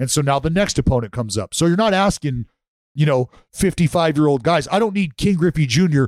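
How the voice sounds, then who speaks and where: A man speaks in a plain, everyday voice at a fairly high pitch and fairly quick pace, with lively intonation, very even loudness, and a dry, close sound with no echo. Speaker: podcast co-host. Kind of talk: casual chat.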